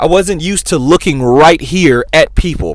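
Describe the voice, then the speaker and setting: A man talks loudly at a high pitch with ordinary pitch variation. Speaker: YouTuber giving career advice. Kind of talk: motivational talk to camera.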